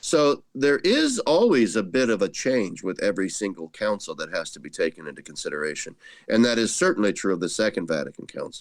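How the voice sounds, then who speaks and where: In a very clean recording with a silent background, a man speaks at a fairly quick pace with hardly any pauses. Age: 60s. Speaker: retired theology professor. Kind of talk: interview.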